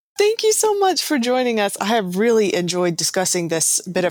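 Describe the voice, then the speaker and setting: At a fairly quick pace, a woman with a normal speaking voice talks with lively intonation. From US South. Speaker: podcast host. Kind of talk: casual chat; scripted narration.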